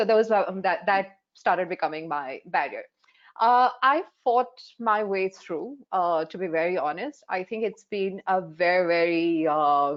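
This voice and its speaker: A woman's medium-pitched voice in an Indian accent, with lively intonation at a fairly slow pace. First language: Hindi. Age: 40s. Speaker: life coach. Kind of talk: panel discussion.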